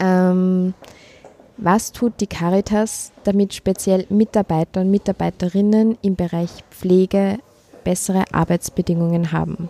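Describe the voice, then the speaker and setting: Speaking at a fairly slow pace with very even loudness, a woman's medium-pitched voice has a dark, mellow tone and monotone, flat intonation, the sound dry and close with no echo. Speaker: podcast host. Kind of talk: interview. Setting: canteen.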